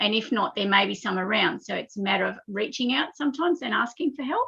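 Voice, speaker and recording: A woman's bright, sharp voice with an Australian accent at a moderate pace. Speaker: spiritual guest. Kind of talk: casual chat. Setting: live internet radio stream. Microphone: unstable internet connection.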